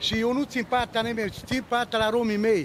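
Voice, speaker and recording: Against light background noise, a man speaks loudly at an extremely high pitch, the sound dry with no echo. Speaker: Roma community leader. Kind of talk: protest speech, angry and indignant appeal to the crowd and press. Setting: outdoors, protest in front of city hall. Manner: loud, agitated, indignant, repetitive. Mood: angry, complaining. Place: street. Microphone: handheld.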